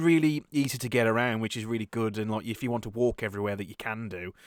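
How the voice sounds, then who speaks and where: A man in a Birmingham accent at a very fast pace, medium pitch with ordinary variation, in a very clean recording with a silent background and a dry, close sound with no echo. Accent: Birmingham-area. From English West Midlands, near Birmingham. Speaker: podcast host. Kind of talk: casual chat. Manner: halting, many repeated words.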